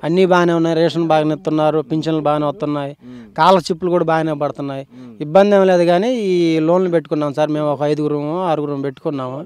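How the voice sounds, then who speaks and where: A man with a fairly high pitch speaks in a fairly even tone, the sound dry with no echo and light noise behind him. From Andhra Pradesh, India. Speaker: village shopkeeper. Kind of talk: street vox-pop interview. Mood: calm, mildly complaining. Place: open country. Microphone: handheld.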